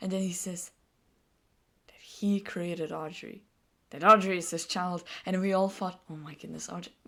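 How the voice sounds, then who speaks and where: At a moderate pace and medium pitch, a woman with a non-native accent speaks in a bright, sharp tone, her loudness swinging widely between long, frequent pauses. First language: not English. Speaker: gaming video creator. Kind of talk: casual commentary on a game. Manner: animated; halting.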